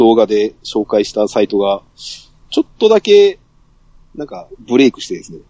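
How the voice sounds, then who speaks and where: A man speaks at a moderate pace. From Saga, Japan. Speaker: podcast guest. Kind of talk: casual chat.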